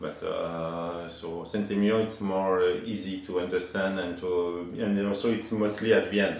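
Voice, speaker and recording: A man with a French accent speaks at a moderate pace and a very deep, low pitch, with hardly any pauses. His intonation is monotone and flat, with noticeable background noise and audible room echo. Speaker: winemaker. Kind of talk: casual chat. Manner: halting.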